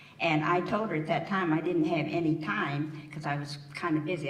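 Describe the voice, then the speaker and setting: With an American accent and a very deep, low pitch, a woman speaks at a fairly quick pace with fairly even intonation, amid audible room echo and noticeable background noise. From Yellow Springs, Ohio, US Midwest. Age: 80s+. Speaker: community elder panelist. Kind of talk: panel storytelling.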